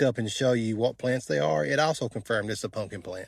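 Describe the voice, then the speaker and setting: Lively intonation and a relaxed tone carry an Appalachian accent in a very clean recording with a silent background. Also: man. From Eastern Kentucky. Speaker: vlogger. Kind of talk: casual talk to camera. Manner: relaxed, conversational.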